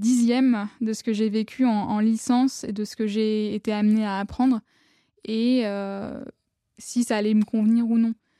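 Speaking fairly slowly, a woman has a fairly high pitch and a dark, mellow tone with monotone, flat intonation. The recording is very clean, with a silent background. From Paris region, France. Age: 20s. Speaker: lawyer at a nonprofit association. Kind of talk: casual interview.

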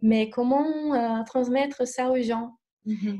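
Speaking at a very slow pace, a woman with a Brazilian accent has a dark, mellow tone, a fairly high pitch and fairly even intonation. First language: Portuguese (speaking French). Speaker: alternative therapist. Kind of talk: interview. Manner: hesitant, many fillers.

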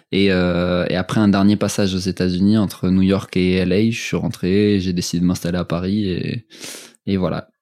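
The recording is very clean, with a silent background, and a man speaks at a moderate pace in a very deep, low voice. His tone is dark and mellow, his intonation monotone and flat. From France, Strasbourg. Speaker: fitness coach. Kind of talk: casual interview.

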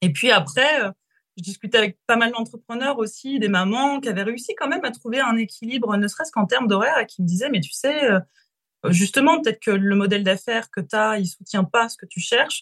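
An ordinary speaking voice with lively intonation. The sound is dry and close, with no echo. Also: woman, fairly high pitch for a woman, fairly quick pace. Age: 30s. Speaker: business coach. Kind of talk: interview.

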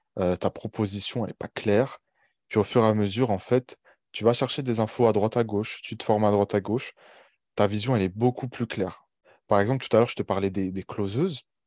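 At a fairly quick pace, a man uses a normal speaking voice, fairly low in pitch with fairly even intonation. The sound is dry and close with no echo, over a quiet background. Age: 20s. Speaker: online coach. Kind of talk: interview podcast.

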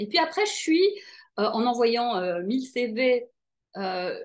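Against a quiet background, a woman with an ordinary speaking voice talks at a fairly slow pace and fairly high pitch with lively intonation. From Belgium, Brussels. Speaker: TV presenter and life coach. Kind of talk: interview.

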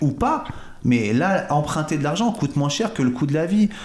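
A man talks at a fairly quick clip with a fairly high pitch, lively intonation and an animated tone. Noticeable background noise runs beneath his voice. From Paris suburbs, Val-de-Marne. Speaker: real estate agent. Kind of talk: interview.

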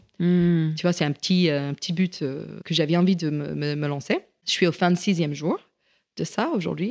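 A woman with a fairly low pitch talks at a moderate pace, and the sound is dry and close with no echo. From US, rural Virginia. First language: English (speaking French). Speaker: chef and caterer. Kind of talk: interview. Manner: halting.

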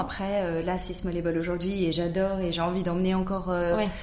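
Fairly low in pitch, a woman talks at a fairly quick pace with audible room echo. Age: 40s. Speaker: entrepreneur. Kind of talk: casual chat. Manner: halting.

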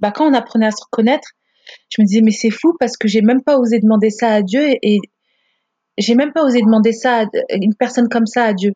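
The pitch varies in an ordinary way, at a moderate pace. The sound is dry and close, with no echo. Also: woman. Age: 30s. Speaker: podcast guest sharing her marriage story. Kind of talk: personal testimony in casual interview. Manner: animated.

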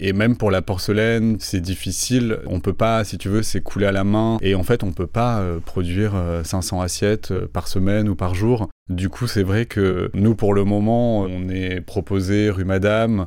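A man with a plain, everyday voice speaks at a fairly slow pace in a fairly low pitch with fairly even intonation. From Toulouse, southern France. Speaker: artist and designer. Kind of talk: interview.

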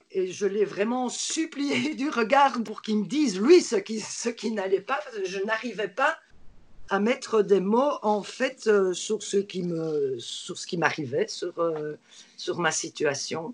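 Over noticeable background noise, a woman with a fairly high pitch speaks at a very slow pace, her pitch swinging very widely. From Belgium. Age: 50s. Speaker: burnout survivor, translator and trainer. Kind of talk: testimony. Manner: halting.

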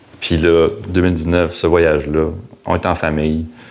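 Over noticeable background noise, a man with a very deep, low pitch speaks in a monotone, flat intonation with a Quebec accent. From Quebec, Outaouais (Hull). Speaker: former business professional. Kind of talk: interview. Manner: halting.

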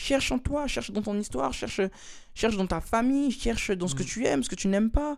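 Over a silent background in a very clean recording, a man talks at a fairly quick pace, his high pitch swinging very widely. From Switzerland, Lausanne. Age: 20s. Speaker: dancer and beatmaker. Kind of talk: casual interview. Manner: hesitant, many fillers and repetitions.

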